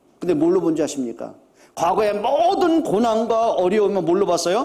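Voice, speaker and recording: A man's high-pitched voice at a fairly quick pace, with very wide pitch swings and audible room echo. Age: 60s. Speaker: pastor. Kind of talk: sermon. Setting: church. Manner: animated.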